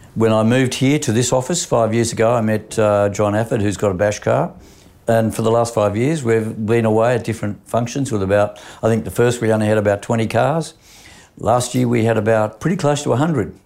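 A man speaks with an Australian accent at a fairly quick pace. His pitch is medium, with ordinary variation. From Australia, Sydney. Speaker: insurance broker and businessman. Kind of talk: interview. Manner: halting, with frequent fillers.

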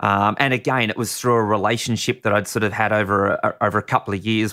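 In a very clean recording with a silent background, a man with an Australian accent talks at a very fast pace in a bright, sharp tone, his fairly low voice keeping fairly even intonation. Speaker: racing driver and stunt driver. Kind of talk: casual interview. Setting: studio.

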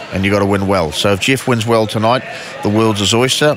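Amid noticeable background noise, a man with a New Zealand accent talks at a very fast pace with a fairly low pitch and fairly even intonation. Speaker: boxing promoter. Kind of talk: interview.

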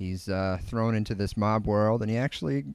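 A plain, everyday voice: a man with an American accent, fairly low pitch, ordinary pitch variation and moderate pace, in a very clean recording with a silent background. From Connecticut. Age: 20s. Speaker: podcast host. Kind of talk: casual chat.

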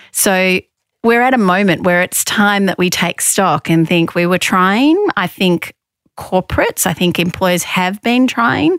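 A woman with an Australian accent, heard in a dry, close sound with no echo. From Australia, Victoria. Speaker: sex discrimination commissioner, former lawyer. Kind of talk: interview.

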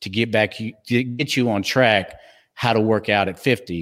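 On a very clean recording with a silent background, a man speaks with a slight Texas accent. His fairly low voice moves at a fairly slow pace with fairly even intonation. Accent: slight Texas twang. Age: 50s. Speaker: fitness trainer and podcast co-host. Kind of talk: casual chat.

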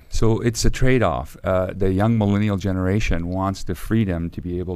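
A man speaks with an Arabic accent at a moderate pace. His pitch is very deep and low. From Cairo, Egypt. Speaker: company CEO. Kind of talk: interview.

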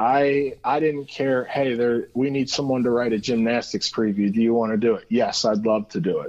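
With a Midwestern US accent, a man speaks at a medium pitch and moderate pace, his intonation fairly even and hardly any pauses between words. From Cincinnati, Ohio. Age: 30s. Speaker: sports journalist. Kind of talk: casual interview. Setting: phone call.

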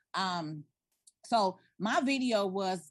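Somewhat breathy and medium in pitch, a woman's voice carries lively intonation. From South Side of Chicago. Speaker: tax and business consultant. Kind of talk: interview.

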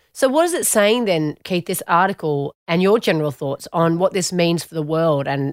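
Speaking with an Australian accent, a woman uses lively intonation at a fairly low pitch. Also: dry, close sound with no echo. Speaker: podcast host. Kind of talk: casual interview. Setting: studio.

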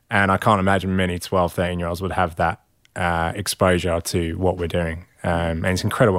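Very fast, monotone male speech with a very deep, low pitch and an English accent, on a very clean recording with a silent background. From England. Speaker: founder of a men's support group. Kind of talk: casual chat. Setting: studio.

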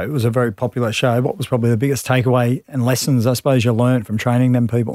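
The speech comes very fast with hardly any pauses, on a very clean recording with a silent background. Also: man. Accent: Australian. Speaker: podcast host and former rugby league player. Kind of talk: casual interview.

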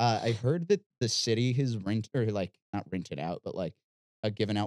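An unremarkable speaking voice from a man with an American accent, fairly low in pitch with ordinary pitch variation, at a moderate pace, dry and close with no echo. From Missouri. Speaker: podcast host and guitarist.

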